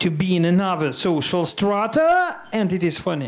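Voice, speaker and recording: A man with a non-native accent and a high-pitched voice speaks at a fairly slow pace. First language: Russian. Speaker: audience member. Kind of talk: audience comment. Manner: halting.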